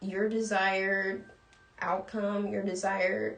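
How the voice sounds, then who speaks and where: Audible room echo and noticeable background noise surround a woman. Her medium-pitched voice keeps a monotone, flat intonation. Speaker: cannabis coach and live show host. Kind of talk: livestream lecture. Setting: live stream. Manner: fast, talking without pausing for breath.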